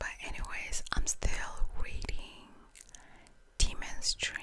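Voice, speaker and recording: A woman whispering very slowly amid noticeable background noise. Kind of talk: casual ASMR chat to camera, story time. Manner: whispered, soft-spoken.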